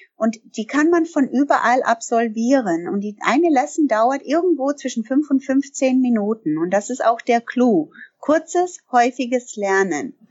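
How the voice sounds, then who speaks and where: A woman with an English accent speaks at a fairly slow pace. Her high voice moves through very wide pitch swings. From Canada. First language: English (speaking German). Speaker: language trainer and business owner. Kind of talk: interview. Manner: frequent hesitations (ähm).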